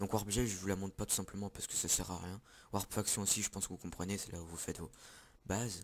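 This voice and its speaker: Recorded very cleanly against a silent background, a man speaks at a fairly quick pace in a fairly low pitch. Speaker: gaming youtuber. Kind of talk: gameplay commentary. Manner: loud.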